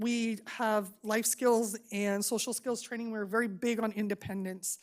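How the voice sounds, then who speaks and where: On a very clean recording with a silent background, a woman speaks with an American accent at a fairly high pitch. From Arizona, Buckeye area. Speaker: special education school staff member. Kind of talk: public presentation at board meeting. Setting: public board meeting. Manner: fast; enthusiastic.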